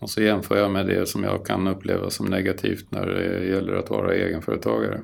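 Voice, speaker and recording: Speaking at a fairly quick pace, a man with a very deep, low pitch and vocal fry uses lively intonation. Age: 60s. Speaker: property caretaker. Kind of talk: interview.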